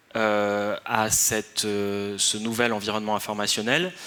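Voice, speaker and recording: This man's voice is fairly low, with a bright, sharp tone. The recording is very clean, the background silent. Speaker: researcher on influence strategies. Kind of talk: conference talk. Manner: hesitant, many fillers.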